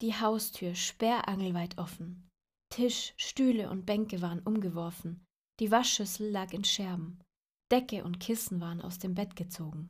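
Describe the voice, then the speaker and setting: A woman's gentle, warm, somewhat breathy voice at a medium pitch and fairly slow pace, on a very clean recording with a silent background. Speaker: storyteller reading fairy tales aloud. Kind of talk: dramatic fairy-tale narration, suspenseful storytelling with a tale-spinning tone. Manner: gentle, warm, child-directed.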